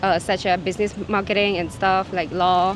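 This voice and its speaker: Over noticeable background noise, a woman talks very fast at a medium pitch with monotone, flat intonation. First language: Khmer. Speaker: university lecturer. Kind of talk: casual interview. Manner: hesitant, searching for words.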